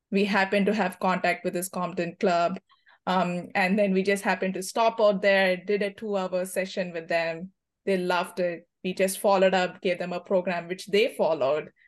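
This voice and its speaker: Woman with an Indian accent at a moderate pace, in a monotone, flat intonation. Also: medium pitch for a woman, quiet background. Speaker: cricket team captain. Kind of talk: podcast interview.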